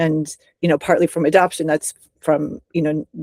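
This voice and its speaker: A woman's very deep, low pitch and dark, mellow tone, monotone and flat in intonation, at a moderate pace, in a dry, close sound with no echo. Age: 60s. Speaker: writer and teacher. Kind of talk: interview.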